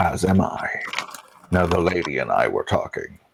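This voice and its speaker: In a put-on character voice, a man talks at a moderate pace. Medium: actual play. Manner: condescending, knowing.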